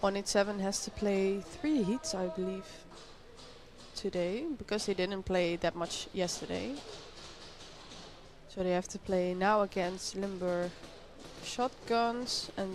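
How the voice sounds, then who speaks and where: This woman talks at a very slow pace with a medium pitch, leaving long, frequent pauses. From Netherlands. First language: Dutch. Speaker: sports commentator. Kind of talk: live commentary. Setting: small booth at a paintball event. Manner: casual, chatty.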